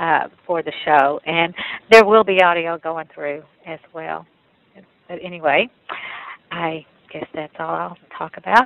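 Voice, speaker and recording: A woman with an East Texas accent speaks fairly slowly at a fairly low pitch, with long, frequent pauses. Her pitch varies in an ordinary way, while her loudness swings widely. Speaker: photographer and gallery owner. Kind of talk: recounting experiences in a panel talk.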